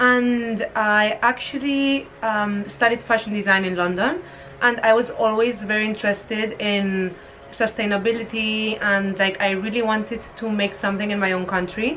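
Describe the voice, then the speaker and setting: The woman speaks with a Spanish accent at a fairly high pitch, her intonation fairly even. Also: moderate pace. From Spain. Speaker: fashion entrepreneur. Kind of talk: casual interview. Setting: at her home in Spain.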